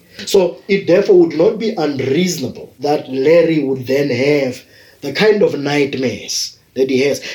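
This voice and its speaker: At a moderate pace, a man speaks with a fairly high pitch and ordinary pitch variation over noticeable background noise. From South Africa. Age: 50s. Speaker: university lecturer. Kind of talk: interview commentary.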